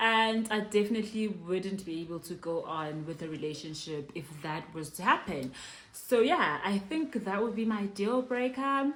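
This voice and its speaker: A loud voice moves through very wide pitch swings at a moderate pace over noticeable background noise. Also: woman, medium pitch for a woman. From South Africa. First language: Zulu. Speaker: YouTuber, mother. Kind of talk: casual Q&A vlog. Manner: loud, animated.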